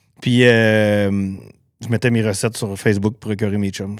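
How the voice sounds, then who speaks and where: A man with a Quebec accent and a fairly low pitch is heard in a very clean recording with a silent background. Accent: Québécois French. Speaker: cook and cookbook author. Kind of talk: podcast interview. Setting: podcast studio. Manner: fast.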